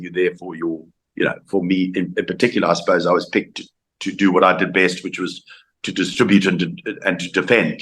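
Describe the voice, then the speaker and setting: This man speaks with a South African accent. His pace is very fast. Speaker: former rugby player. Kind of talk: interview. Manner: halting.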